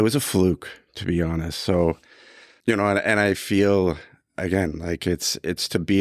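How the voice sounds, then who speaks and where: A man with a Canadian accent speaks at a very deep, low pitch and a fairly slow pace. His intonation stays fairly even on a very clean recording with a silent background. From Canada. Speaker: equipment company executive. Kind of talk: interview. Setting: room with recording equipment.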